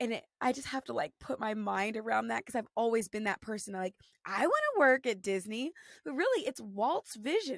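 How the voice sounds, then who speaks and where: Heard in a dry, close sound with no echo, a woman speaks in a high voice with lively intonation. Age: 30s. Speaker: Broadway actress. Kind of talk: podcast interview. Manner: stutters.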